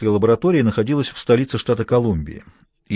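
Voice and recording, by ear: With ordinary pitch variation, a natural voice reads aloud while the background stays quiet.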